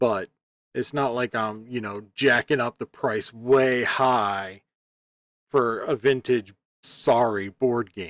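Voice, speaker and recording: A man talks at a very slow pace, and his intonation stays fairly even. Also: big swings in loudness. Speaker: eBay reseller. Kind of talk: sales update video. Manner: casual, filler-heavy.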